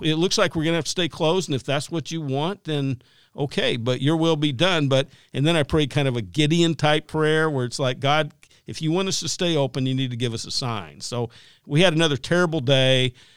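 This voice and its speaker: On a very clean recording with a silent background, a man uses a normal speaking voice at a moderate pace. His pitch is fairly high, with ordinary pitch variation. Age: 60s. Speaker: pastor and author. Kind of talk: casual interview chat. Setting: studio.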